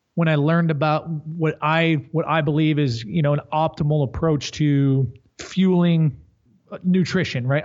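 Speaking in a normal speaking voice, a man talks at a fairly slow pace with ordinary pitch variation. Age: 30s. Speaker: strength coach and company executive. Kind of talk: casual chat.

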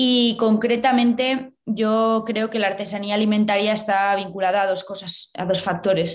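At a moderate pace, a normal speaking voice talks with fairly even intonation. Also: woman. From Spain, Valladolid. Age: 20s. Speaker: cheesemonger. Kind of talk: interview.

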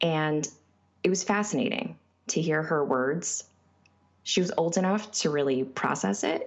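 A woman with an American accent speaks at a very deep, low pitch with vocal fry and very wide pitch swings. Her loudness stays very even, broken by long, frequent pauses. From small town in Connecticut. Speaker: book reviewer. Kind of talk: prepared book review.

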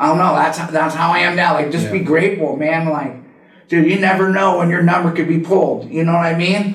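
Over noticeable background noise, a man with an American accent and a high pitch speaks at a very fast pace with fairly even intonation. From California, Santa Cruz. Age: 40s. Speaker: professional skateboarder in recovery. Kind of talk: casual interview, personal story.

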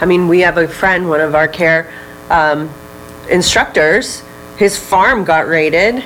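Over music in the background, a woman speaks at a fairly slow pace with a fairly low pitch, ordinary pitch variation and very even loudness. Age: 20s. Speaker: wellness retreat founder and marketer. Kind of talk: casual interview. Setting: studio.

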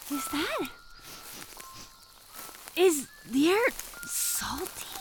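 A woman speaks very slowly in a put-on character voice, pitched high. Her pitch swings widely.

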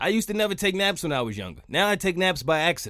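A man's high-pitched voice has a bright, sharp tone and an animated delivery. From New York. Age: 30s. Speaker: podcast host. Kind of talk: comedic monologue.

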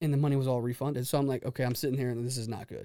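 A man with an American accent talks very fast in a fairly high pitch, his tone dark and mellow. His intonation is monotone and flat, on a very clean recording with a silent background. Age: 30s. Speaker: business owner. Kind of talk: casual interview chat. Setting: studio.

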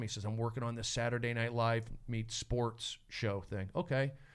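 A man with an American accent speaks at a moderate pace. He has an unremarkable speaking voice. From California. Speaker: comedian and podcast host. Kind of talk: casual chat. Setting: studio.

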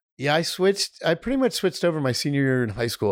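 A man with vocal fry races along at a very fast pace with lively intonation, on a very clean recording with a silent background. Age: 50s. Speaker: film director. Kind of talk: casual chat.

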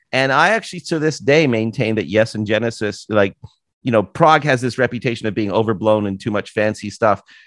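With a Canadian accent and a plain, everyday voice, a man talks at medium pitch and a fairly quick pace against a quiet background. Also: ordinary pitch variation. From Canada, Toronto area. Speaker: author and podcast host. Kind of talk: casual interview chat. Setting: video call.

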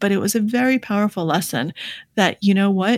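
On a very clean recording with a silent background, a woman speaks at a moderate pace and medium pitch in a somewhat breathy voice. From born in the Soviet Union, raised in the US. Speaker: author and poker player. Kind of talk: interview.

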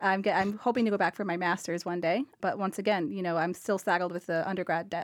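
A woman with an American accent, very fast and fairly even in intonation, on a very clean recording with a silent background. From Cape Cod, Massachusetts. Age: 20s. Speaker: financial underwriter. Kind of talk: radio panel discussion.

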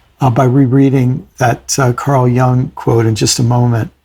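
A somewhat breathy man at a medium pitch and a fairly slow pace. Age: 60s. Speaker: podcast host. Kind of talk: casual reflective conversation.

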